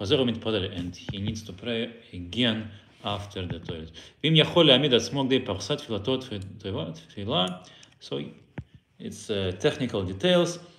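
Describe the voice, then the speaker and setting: A man's fairly low voice at a moderate pace, with lively intonation, big swings in loudness, long, frequent pauses and audible room echo. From Belarus. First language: Russian. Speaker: Torah teacher. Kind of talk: lecture. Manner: halting.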